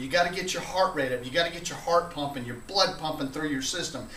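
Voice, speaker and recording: A man with a fairly high pitch is heard with audible room echo and noticeable background noise. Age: middle-aged. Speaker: video blogger. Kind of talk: casual vlog monologue. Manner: frequent filler uh.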